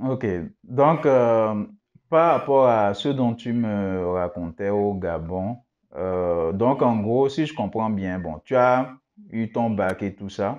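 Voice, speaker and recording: Speaking at a very slow pace, a man uses a medium pitch and lively intonation. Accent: Cameroonian. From West Africa. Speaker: YouTube interviewer. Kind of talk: interview.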